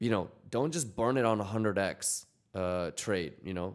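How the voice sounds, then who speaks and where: A man's medium-pitched voice with ordinary pitch variation, on a very clean recording with a silent background. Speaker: crypto trading livestreamer. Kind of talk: casual livestream chat. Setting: livestream. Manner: talking quietly.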